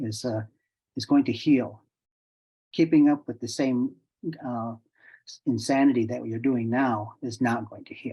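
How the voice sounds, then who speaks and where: A man with a dark, mellow tone speaks fairly slowly at a medium pitch, his intonation fairly even. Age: 60s. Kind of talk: presentation to online audience. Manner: casual, repetitive false starts.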